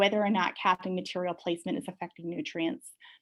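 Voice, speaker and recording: Speaking at a fairly quick pace, a woman has a medium pitch. Her pitch varies in an ordinary way over a quiet background. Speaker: professor. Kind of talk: lecture. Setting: video call. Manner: fast.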